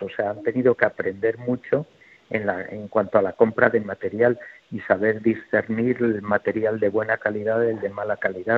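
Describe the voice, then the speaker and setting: A man with a medium pitch speaks at a moderate pace in a monotone, flat intonation. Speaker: health executive. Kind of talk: radio interview.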